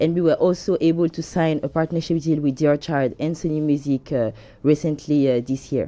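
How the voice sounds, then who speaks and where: A woman with a French accent speaks at a fairly quick pace in a very deep, low voice with a dark, mellow tone and fairly even intonation. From France. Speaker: music company co-founder. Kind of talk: studio interview. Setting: studio. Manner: hesitant.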